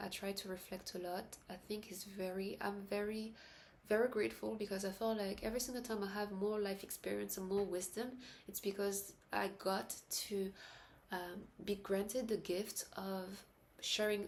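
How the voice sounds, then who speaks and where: A soft-spoken woman at medium pitch, with a moderate pace and monotone, flat intonation. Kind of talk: casual talk to camera. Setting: indoors at night, late-night vlog. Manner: soft-spoken, reflective.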